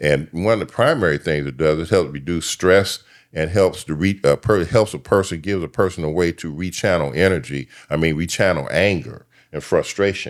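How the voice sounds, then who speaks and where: This man's voice sits very deep and low, with vocal fry and ordinary pitch variation. He goes at a fairly quick pace, and the recording is very clean with a silent background. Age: 70s. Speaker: yoga and mind-body teacher, former social worker. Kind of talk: podcast interview. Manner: halting, many fillers.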